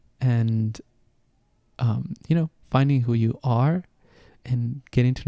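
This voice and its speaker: Medium in pitch, this man's voice has a dark, mellow tone and fairly even intonation. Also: dry, close sound with no echo. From Venezuela. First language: Spanish. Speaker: podcast host, astrology and health coach. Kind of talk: casual podcast monologue. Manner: halting, many fillers.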